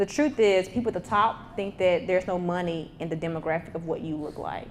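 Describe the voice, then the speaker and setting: A woman's fairly low voice with a Mississippi accent. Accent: Southern US, Mississippi. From US South, Mississippi (small town near Jackson). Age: 30s. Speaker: tech entrepreneur and speaker. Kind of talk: motivational talk with Q&A. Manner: casual, conversational.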